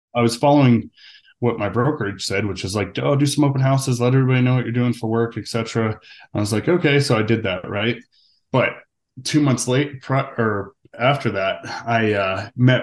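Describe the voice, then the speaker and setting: Over a quiet background, a plain, everyday voice with an American accent moves at a fairly quick pace with ordinary pitch variation. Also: man. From Arizona, US. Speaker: real estate agent. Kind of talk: interview, casual business chat.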